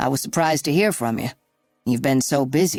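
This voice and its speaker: A raspy put-on character voice at a low-to-middle pitch moves at a fairly quick pace. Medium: read story. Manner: easygoing, warm.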